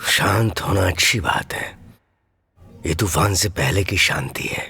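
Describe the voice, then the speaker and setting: Using a put-on character voice, a man speaks at a fairly slow pace with a fairly low pitch. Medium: fan dub. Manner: gruff, terse.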